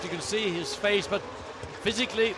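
Loud background noise surrounds a man talking at a fairly quick pace. The sound itself is dry with no echo. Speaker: lead race commentator. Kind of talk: sports commentary. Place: booth.

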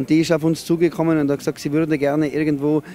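Faint music plays in the background as the speech moves at a fairly quick pace with a dry sound and no echo. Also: man. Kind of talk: interview answer. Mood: relaxed, friendly. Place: open country. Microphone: handheld.

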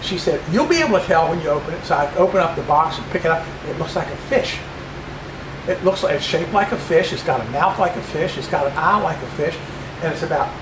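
Noticeable background noise sits behind a man talking very fast. His pitch is high and his intonation fairly even. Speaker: presenter. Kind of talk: presentation talk with anecdotes. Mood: jovial, chuckling. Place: hall. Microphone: camera far.

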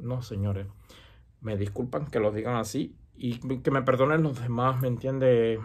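A somewhat breathy man at a fairly slow pace, with fairly even intonation and a quiet background. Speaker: santería practitioner and YouTuber; religious advice vlogger. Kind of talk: casual advice monologue. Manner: hesitant with many fillers. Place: home room. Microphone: earbuds.

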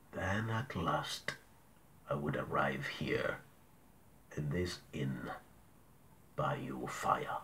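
In a put-on character voice, a man speaks at a very slow pace. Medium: read story.

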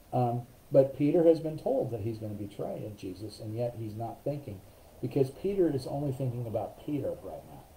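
A somewhat breathy man's voice, dark and mellow, medium in pitch, with lively intonation, big swings in loudness and a fairly quick pace over light background noise. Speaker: pastor leading Bible study. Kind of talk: Bible study teaching. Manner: casual with many fillers. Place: home room. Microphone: webcam.

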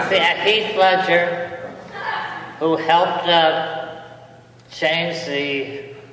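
High-pitched male speech with audible room echo and light background noise. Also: long, frequent pauses. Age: 80s+. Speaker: poet and underground film actor. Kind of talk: live poetry reading. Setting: live audience in a church. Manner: wry. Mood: wry, lamenting. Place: church. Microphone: podium.

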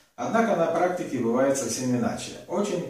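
A man speaking at a moderate pace is heard with audible room echo. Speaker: massage teacher. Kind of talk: lecture. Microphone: camera far.

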